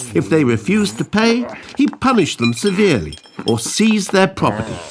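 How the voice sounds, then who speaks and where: A man with a British accent and very wide pitch swings, music in the background. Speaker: narrator. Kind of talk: educational animation narration.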